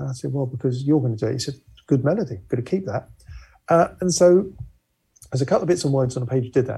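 Somewhat breathy and dark, mellow in tone, a man's medium-pitched voice races at a very fast pace with ordinary pitch variation. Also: big swings in loudness. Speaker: musician and keyboard player. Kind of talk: casual interview. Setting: video call from home.

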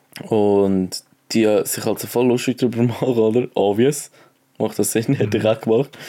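A man speaks at a moderate pace with a Swiss accent, his medium-pitched voice dark and mellow, on a very clean recording with a silent background. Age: young. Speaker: podcast co-host, apprentice. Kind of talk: casual chat. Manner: animated.

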